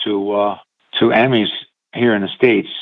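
This man has an unremarkable speaking voice, fairly low in pitch, with fairly even intonation and a moderate pace. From upstate New York. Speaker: musician. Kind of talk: interview. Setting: phone call.

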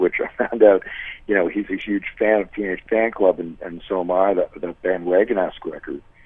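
With noticeable background noise behind it, the talking keeps a moderate pace and fairly even intonation. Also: man. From Toronto, Canada. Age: 40s. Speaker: musician. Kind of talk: casual chat.

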